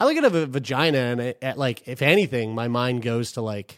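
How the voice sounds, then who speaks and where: A man with a normal speaking voice talks at a moderate pace, with a medium pitch and ordinary pitch variation. The recording is very clean, with a silent background. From Newfoundland, Canada. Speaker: podcast co-host. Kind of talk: casual chat.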